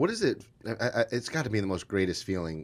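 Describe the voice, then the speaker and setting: Moderately paced speech on a very clean recording with a silent background. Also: man. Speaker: podcast host. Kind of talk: interview question.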